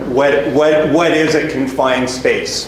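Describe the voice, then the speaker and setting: A man with a fairly high pitch and a Canadian accent talks amid noticeable background noise and audible room echo. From western Canada, Edmonton. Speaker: safety equipment sales rep. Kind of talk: presentation. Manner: repetitive, frequent restarts.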